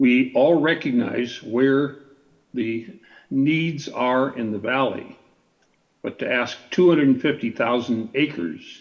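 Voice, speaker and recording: A man talks at medium pitch. His pace is very slow. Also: ordinary pitch variation. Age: 80s+. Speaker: landowner, public commenter. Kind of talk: public comment at government meeting.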